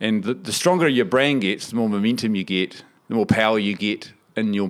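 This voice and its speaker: Lively intonation in a New Zealand accent at a moderate pace, on a very clean recording with a silent background. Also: man. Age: 40s. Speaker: business founder. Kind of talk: interview.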